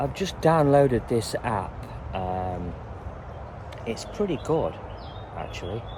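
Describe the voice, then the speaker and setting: A man with an English accent and a dark, mellow tone at medium pitch, very wide pitch swings, a very slow pace, and long, frequent pauses. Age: 60s. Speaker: canal boat vlogger. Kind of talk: casual vlog. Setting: outdoors on canal towpath. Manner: hesitant, many fillers.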